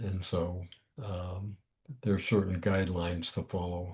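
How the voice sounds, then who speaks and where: Over a quiet background, a man speaks at a fairly slow pace with a very deep, low pitch. His voice is somewhat breathy, with a dark, mellow tone. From US. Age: 90s. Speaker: thriller author and former marine. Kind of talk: interview. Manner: halting, many fillers.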